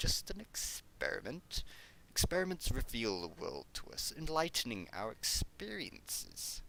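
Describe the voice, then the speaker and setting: Doing a put-on character voice, a man speaks at a moderate pace over clear background noise. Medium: read story. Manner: nonchalant, gleefully detached.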